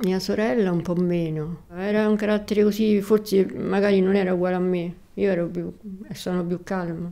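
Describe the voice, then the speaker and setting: A woman speaks at a moderate pace in a dark, mellow tone. Her intonation is monotone and flat. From Rome, Italy. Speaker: widow of a Paralympic athlete, former nurse. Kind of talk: personal reminiscence interview. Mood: calm, reflective reminiscing. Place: home room.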